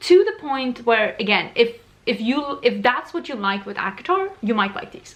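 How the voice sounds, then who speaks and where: Someone with a non-native accent speaks at a moderate pace with lively intonation. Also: woman. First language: not English. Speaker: book reviewer. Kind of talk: casual book review vlog. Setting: bedroom, filming in natural daylight. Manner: casual, conversational with self-corrections.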